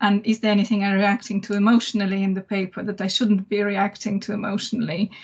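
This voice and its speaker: Speaking very fast in a Russian accent, a woman keeps a medium pitch and a monotone, flat intonation, her voice somewhat breathy. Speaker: academic, management scholar. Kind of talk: panel discussion.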